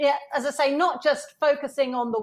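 A woman is speaking. She has an English accent. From UK. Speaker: innovation and leadership consultant. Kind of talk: interview.

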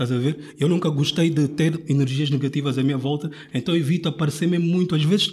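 Very fast and somewhat breathy, a man speaks at a fairly high pitch with ordinary pitch variation. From Angola (Luanda). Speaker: rapper and design student. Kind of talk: casual chat.

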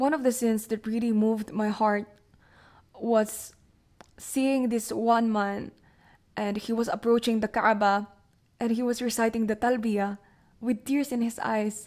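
A woman speaks at a fairly high pitch and a fairly slow pace, with long, frequent pauses. Her intonation is monotone and flat, and the recording is very clean with a silent background. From Philippines. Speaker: podcast host. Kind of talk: personal reflection monologue.

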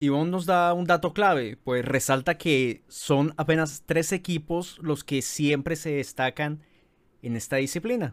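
A man with a plain, everyday voice and a fairly high pitch speaks at a fairly slow pace with ordinary pitch variation. The recording is very clean, with a silent background. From Colombia. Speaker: podcast host, journalist. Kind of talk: scripted narration.

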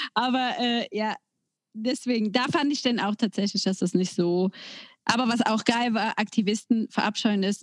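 With a plain, everyday voice, a woman talks at a moderate pace in a fairly high pitch with ordinary pitch variation, the sound dry and close with no echo. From Germany, near the Belgian border. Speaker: podcast co-host. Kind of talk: casual chat.

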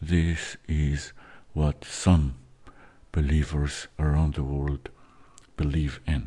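A man with a very deep, low pitch and a dark, mellow, calm, soothing tone speaks very slowly and somewhat breathily in a monotone, flat delivery, with long, frequent pauses. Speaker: meditation host. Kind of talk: guided meditation. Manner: slow, calm, soothing, hushed instructions with long pauses; halting, with filler words.

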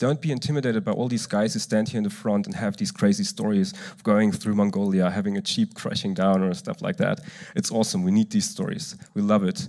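Speaking in an eastern German accent, a man talks at a fairly quick pace with hardly any pauses. His medium pitch moves in very wide swings. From eastern Germany. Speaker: church youth speaker. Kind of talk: sermon. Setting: stage with audience.

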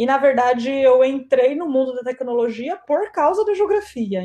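Her pitch is high and her tone is dark and mellow. The woman is heard against a quiet background. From Campinas, São Paulo state, Brazil. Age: 30s. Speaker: product manager. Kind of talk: interview conversation.

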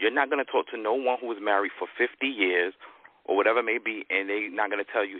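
At a fairly quick pace, a man speaks in an unremarkable speaking voice with a medium pitch and ordinary pitch variation. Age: 40s. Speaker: guest panelist. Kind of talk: casual debate.

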